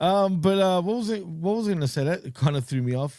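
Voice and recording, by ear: Recorded very cleanly against a silent background, a man speaks in a dark, mellow tone with ordinary pitch variation.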